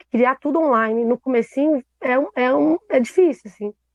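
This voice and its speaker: Ordinary pitch variation shapes a woman's high-pitched speech. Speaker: theatre producer. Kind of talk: panel discussion. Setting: live stream.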